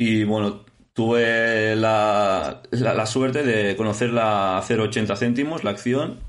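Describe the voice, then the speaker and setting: Very slow speech from a man with a Spanish accent, medium in pitch, with very even loudness, fairly even intonation and audible room echo. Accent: Peninsular Spanish. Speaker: podcast host. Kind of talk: casual interview.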